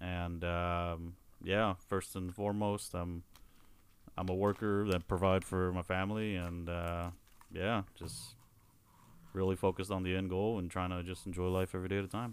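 A man with an American accent speaks in a very deep, low pitch with monotone, flat intonation on a very clean recording with a silent background. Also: moderate pace. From Houston, Texas. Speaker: brewery operating partner. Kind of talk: casual chat.

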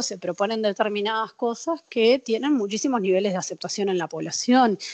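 A woman talks at a moderate pace in a normal speaking voice, her pitch fairly high and her intonation lively. The sound is dry and close, with no echo. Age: 30s. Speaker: prison program coordinator and newspaper editor. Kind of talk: interview.

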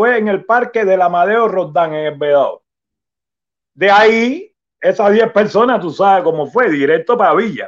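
A man with a high pitch speaks at a moderate pace. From Cuba. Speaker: Cuban opposition activist. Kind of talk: testimony.

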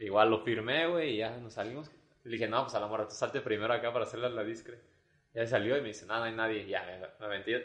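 A man speaks very fast at a medium pitch. His intonation stays fairly even. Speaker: podcast host. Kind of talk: casual chat.

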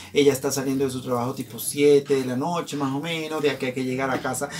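This is a man speaking. His pitch is fairly high. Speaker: podcast host. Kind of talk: casual chat. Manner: animated.

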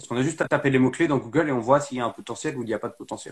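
A man's somewhat breathy voice at a very fast pace, with ordinary pitch variation. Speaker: live stream host. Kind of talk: casual chat. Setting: video call.

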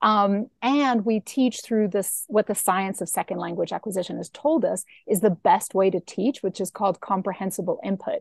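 Recorded dry and close with no echo against a quiet background, a woman with a medium-pitched, somewhat breathy voice speaks at a moderate pace with hardly any pauses and ordinary pitch variation. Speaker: app founder. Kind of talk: casual interview.

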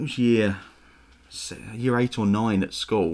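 The speaker has a slight Estuary accent and fairly even intonation on a very clean recording with a silent background. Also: man. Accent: London English, slight Estuary. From east London, England. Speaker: church pastor. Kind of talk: casual interview chat.

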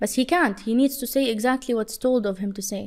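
A woman speaks quickly in a plain, everyday voice, fairly high-pitched and fairly even in intonation, on a very clean recording with a silent background. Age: 20s. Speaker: social media influencer. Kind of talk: casual interview.

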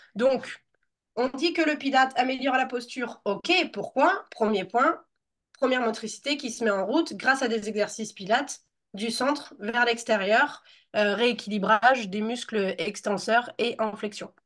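A woman's normal speaking voice, fairly high in pitch, at a fairly slow pace with ordinary pitch variation. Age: 30s. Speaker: Pilates teacher. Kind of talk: interview.

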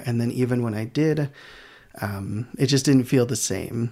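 A man speaks in a medium pitch with a Midwestern American accent. His tone is dark and mellow, and his pace is moderate. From Michigan, US Midwest. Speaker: physical therapist. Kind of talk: casual chat.

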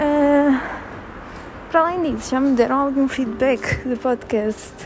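Over noticeable background noise, a woman with a high pitch and a European Portuguese accent speaks at a very slow pace, with ordinary pitch variation. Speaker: podcaster. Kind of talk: casual monologue. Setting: walking while recording. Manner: hesitant, many fillers.

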